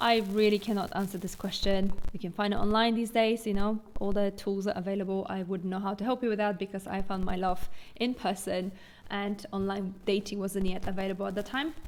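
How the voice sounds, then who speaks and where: The speaker has a Polish accent and talks at a fairly quick pace with fairly even intonation. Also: woman, medium pitch for a woman. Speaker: vlogger. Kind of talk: Q&A vlog, casual talk to camera.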